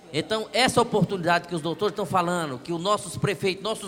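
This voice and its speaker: A man speaks with a high pitch. Background noise is noticeable. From Brazil, near Luziânia (Goiás). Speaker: audience member. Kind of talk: audience testimony.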